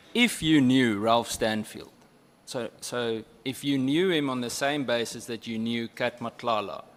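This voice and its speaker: Speaking with a South African accent, a man keeps a fairly slow pace and ordinary pitch variation. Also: medium pitch for a man. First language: Afrikaans. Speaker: member of parliament questioning a witness. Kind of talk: parliamentary questioning.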